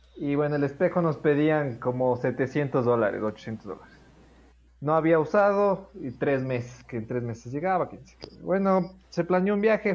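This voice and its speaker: The delivery has lively intonation and a moderate pace. It is an ordinary speaking voice. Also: man. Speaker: podcast host. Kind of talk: casual chat.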